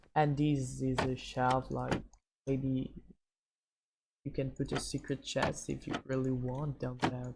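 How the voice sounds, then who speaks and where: A woman with a non-native accent, speaking at a fairly slow pace. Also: long, frequent pauses. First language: not English. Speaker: gaming tutorial youtuber. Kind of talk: tutorial. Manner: halting, many fillers.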